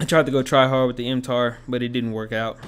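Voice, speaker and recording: Talking at a fairly quick pace, a man keeps a medium pitch and a monotone, flat intonation. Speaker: gaming youtuber. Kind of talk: gameplay commentary. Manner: casual, stumbling.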